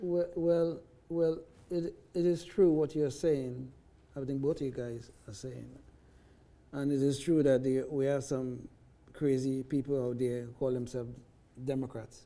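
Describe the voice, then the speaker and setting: With a non-native accent, a man talks at a fairly slow pace, leaving long, frequent pauses. His pitch is fairly high, his tone dark and mellow, and his intonation fairly even. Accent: foreign. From foreign country (socialist-founded), moved to US at 20. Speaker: libertarian talk show panelist. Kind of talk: panel discussion.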